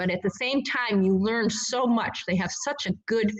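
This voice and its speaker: The speaker has an ordinary speaking voice and keeps a moderate pace. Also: woman. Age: 60s. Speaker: obstacle course racer. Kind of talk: interview.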